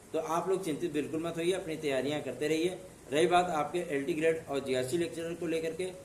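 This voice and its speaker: A man's high voice at a moderate pace, fairly even in intonation, with audible room echo. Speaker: exam news presenter. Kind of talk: informational video talk.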